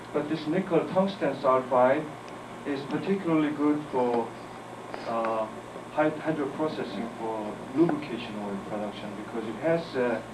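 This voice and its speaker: A man with a Korean accent talks at a moderate pace at a fairly high pitch with ordinary pitch variation. Audible room echo and noticeable background noise surround him. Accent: non-native English, Korean. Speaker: chemistry professor. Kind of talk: lecture. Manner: halting.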